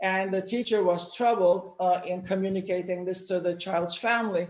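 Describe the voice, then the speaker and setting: The speaker has a Turkish accent and keeps a moderate pace. Noticeable background noise runs underneath. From Turkey. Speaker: educator with psychology background. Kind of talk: panel discussion talk.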